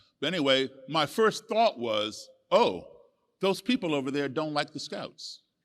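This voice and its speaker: Very wide pitch swings mark this man's American accent. The recording is very clean with a silent background. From USA, raised partly abroad as embassy child. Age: 60s. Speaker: musician and author. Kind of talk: storytelling on stage.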